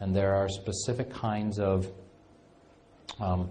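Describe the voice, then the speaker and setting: At a fairly slow pace, a man with a fairly low pitch speaks amid audible room echo. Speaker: functional medicine clinician lecturer. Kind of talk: lecture.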